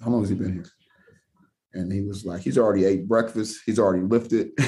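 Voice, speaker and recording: With an American accent, a man talks in a fairly low voice with a dark, mellow tone. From Seattle, Washington. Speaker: college basketball coach. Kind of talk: casual interview.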